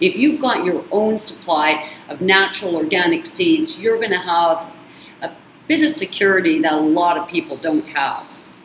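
A woman talks at a moderate pace with very wide pitch swings. Audible room echo and light background noise are present. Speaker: YouTube channel host on narcissistic abuse recovery. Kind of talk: casual vlog monologue. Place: kitchen. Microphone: webcam.

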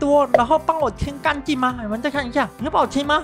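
An upbeat tone carries the voice over music in the background. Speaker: gaming YouTuber. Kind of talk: casual gameplay commentary. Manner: upbeat, excitable.

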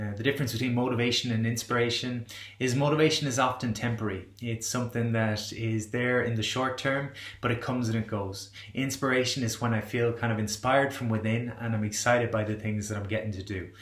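A man at a very fast pace, fairly even intonation, audible room echo, quiet background. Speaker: wellbeing coach. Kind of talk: motivational talk to camera. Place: home room. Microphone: webcam.

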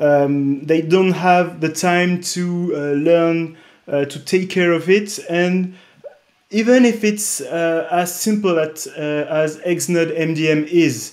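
A man speaks at a high pitch with a French accent and fairly even intonation. His pace is very slow, over a quiet background. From France. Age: 30s. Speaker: tech startup co-founder; presenter. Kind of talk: conference interview and product demo; conference presentation. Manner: hesitant, many fillers. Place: home room. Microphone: webcam.

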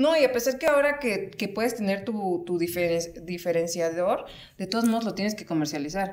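A woman with a Mexican accent at a moderate pace. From Mexico. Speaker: podcast host. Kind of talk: casual chat. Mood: relaxed, joking, chatty. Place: home room.

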